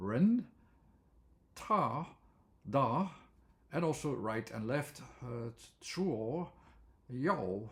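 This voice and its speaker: Here a man speaks with a fairly high pitch. His voice is somewhat breathy. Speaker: language theory educator. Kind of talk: lecture. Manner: halting, many fillers.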